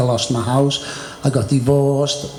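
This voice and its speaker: A man's fairly high voice at a fairly quick pace, with audible room echo and noticeable background noise. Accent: Merseyside. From northern England, Birkenhead near Liverpool. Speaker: martial arts teacher. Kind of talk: casual chat.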